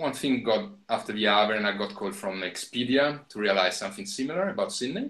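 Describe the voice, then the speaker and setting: Speaking very fast, a man talks with an Italian accent. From Italy. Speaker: filmmaker. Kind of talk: interview. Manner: halting, many fillers.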